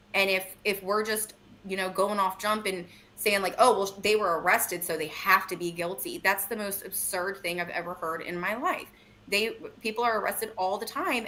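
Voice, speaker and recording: A woman's voice with noticeable background noise. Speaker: true crime commentator. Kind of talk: casual chat. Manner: fast.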